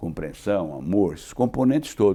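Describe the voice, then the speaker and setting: This man's voice has a dark, mellow tone with vocal fry. His pitch swings very widely. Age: 80s+. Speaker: insurance executive. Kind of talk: interview. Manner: conversational, with filler tags.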